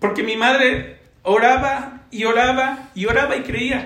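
A man's raised, projected voice at an extremely high pitch, with audible room echo. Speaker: church evangelism leader. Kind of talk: testimony.

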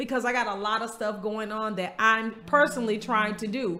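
A woman with an American accent and a fairly high pitch, with audible room echo. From US South, Florida small town. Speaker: podcast host. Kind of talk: casual chat.

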